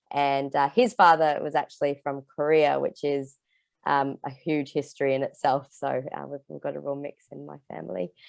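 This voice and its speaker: A woman with an Australian accent at a moderate pace, with big swings in loudness. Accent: Australian twang. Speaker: environmental group member. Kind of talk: self-introduction in group video call. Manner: halting, many fillers.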